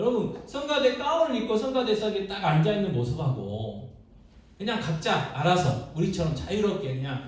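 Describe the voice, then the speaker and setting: Against audible room echo and noticeable background noise, a man with a Jeolla accent speaks at a moderate pace in an animated tone, his pitch swinging very widely. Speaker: pastor. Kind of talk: sermon. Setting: church.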